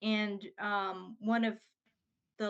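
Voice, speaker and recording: A woman speaks at a medium pitch. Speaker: therapist and author. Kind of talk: interview. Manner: slow, halting.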